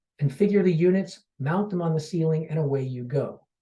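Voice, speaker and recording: A man with a fairly high pitch talks at a fairly quick pace with ordinary pitch variation. His tone is dark and mellow. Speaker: marketing executive. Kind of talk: product presentation. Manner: fast.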